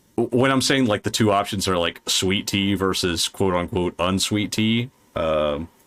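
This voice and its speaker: A man's fairly low voice with a slight Southern US accent, very even loudness and ordinary pitch variation. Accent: slight Southern drawl. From US South. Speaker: podcast host. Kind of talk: casual chat. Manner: animated.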